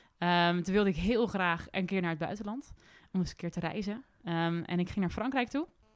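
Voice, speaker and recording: A woman with a normal speaking voice talks at a medium pitch and a fairly quick pace, with ordinary pitch variation. The recording is very clean, with a silent background. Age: 20s. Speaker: young adventurer. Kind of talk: casual interview. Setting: indoor recording in Arnhem.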